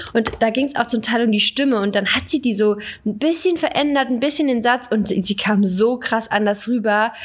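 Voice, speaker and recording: A woman's fairly high voice at a moderate pace, with ordinary pitch variation, very even loudness and noticeable background noise. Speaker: fitness podcast co-host. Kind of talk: casual chat.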